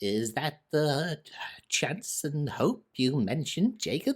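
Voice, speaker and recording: In a shaky, put-on character voice, a man speaks fairly slowly at a fairly high pitch. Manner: fearful, hesitant.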